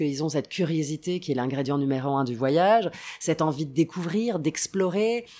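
A woman speaks with a very deep, low pitch and lively intonation at a moderate pace. The recording is very clean, with a silent background. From Italy, Rome. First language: Italian (speaking French). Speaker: travel TV presenter. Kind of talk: casual interview.

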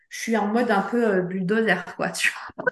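Her pitch sits fairly high. The woman's pitch varies in an ordinary way. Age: 50s. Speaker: travel planner. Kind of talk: interview. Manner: halting.

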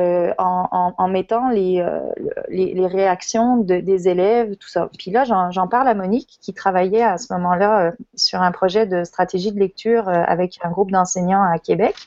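A woman speaks at a medium pitch and fairly slow pace with fairly even intonation. Her loudness swings widely. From France (Lyon), emigrated to Quebec as adult. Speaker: teacher and education network co-founder. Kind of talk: casual interview.

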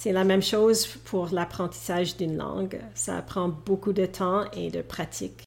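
The voice carries vocal fry and moves at a fairly slow pace. Its intonation is fairly even. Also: woman. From Canada (Alberta, Edmonton). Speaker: English coach. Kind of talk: interview. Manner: hesitant, with filler sounds.

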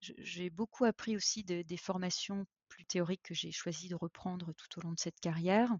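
A woman's somewhat breathy, medium-pitched voice at a moderate pace, with fairly even intonation and big swings in loudness. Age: 40s. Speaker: HR professional. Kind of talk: interview testimony. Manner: halting, many repetitions and fillers.

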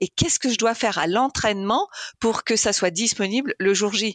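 A woman talks at a fairly quick pace with lively intonation, the sound dry and close with no echo against a quiet background. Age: 50s. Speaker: engineering coach and masters swimmer. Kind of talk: interview. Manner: halting.

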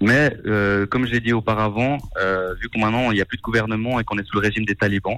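A man speaks at a fairly quick pace with a medium pitch, captured in a very clean recording against a silent background. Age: 20s. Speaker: fundraiser organizer. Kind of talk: radio interview. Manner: halting, many hesitations.

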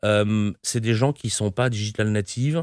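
Recorded very cleanly against a silent background, a man talks at a fairly slow pace in a plain, everyday voice with ordinary pitch variation. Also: dry, close sound with no echo. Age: 50s. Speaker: company founder and CEO. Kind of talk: interview.

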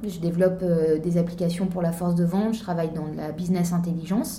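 Audible room echo surrounds this recording. A woman speaks in a fairly low voice. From eastern France. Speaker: mountaineer and charity founder. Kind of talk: interview. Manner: hesitant, many fillers.

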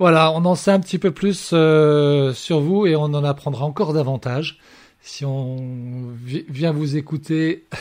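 Fairly high-pitched male speech with ordinary pitch variation, a fairly slow pace and long, frequent pauses. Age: young. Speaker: radio host. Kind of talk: radio show interview.

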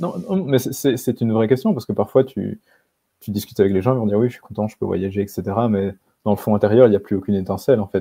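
A very fast male voice, fairly low in pitch, with a dark, mellow tone and fairly even intonation. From rural Belgium. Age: 20s. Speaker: author. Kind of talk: interview.

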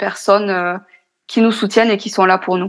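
A woman with a fairly high pitch speaks with monotone, flat intonation. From France. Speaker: podcaster and entrepreneur. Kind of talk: interview. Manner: hesitant.

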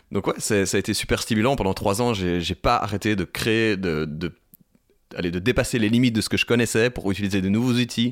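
Fairly low male voice, fairly quick in pace and ordinary in pitch variation, captured on a very clean recording against a silent background. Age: 30s. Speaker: singer-songwriter and music producer. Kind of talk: interview conversation. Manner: hesitant, many fillers.

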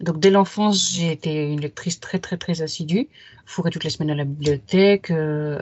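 Moderately paced speech from a woman. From Paris region, France. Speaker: writer and literary critic. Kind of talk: casual interview.

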